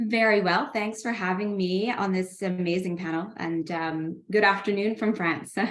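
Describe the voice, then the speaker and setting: A woman with a Canadian accent talks at a moderate pace with fairly even intonation. There is noticeable background noise. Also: medium pitch for a woman, hardly any pauses. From Canada. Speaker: international development professional. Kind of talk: panel discussion. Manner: halting, many fillers.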